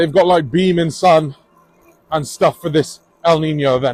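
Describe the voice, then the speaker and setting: A man with a Bristolian accent speaks at a moderate pace in a high-pitched voice. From England, Bristol. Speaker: cycling vlogger. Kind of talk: casual vlog talk. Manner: casual, hesitant with fillers.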